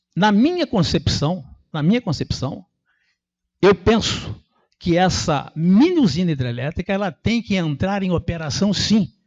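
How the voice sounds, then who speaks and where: Here a man talks with a high pitch. His intonation is lively and his pace fairly slow. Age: 60s. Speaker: resident speaking at public hearing. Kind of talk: public hearing speech. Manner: animated.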